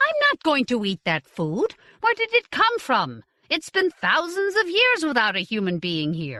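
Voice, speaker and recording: A put-on character voice that sounds female is delivered at a high pitch and a moderate pace. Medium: read story. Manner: curt, skeptical.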